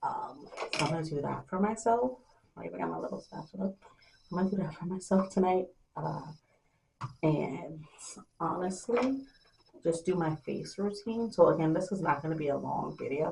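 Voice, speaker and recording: Soft-spoken and at a moderate pace, a woman talks with long, frequent pauses. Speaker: beauty vlogger. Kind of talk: casual vlog talk to camera. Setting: at home at night, kids asleep.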